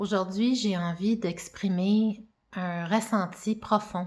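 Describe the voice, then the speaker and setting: A woman at a medium pitch speaks very slowly in a monotone, flat way, on a very clean recording with a silent background. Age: 40s. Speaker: mother giving personal testimony. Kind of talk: testimony.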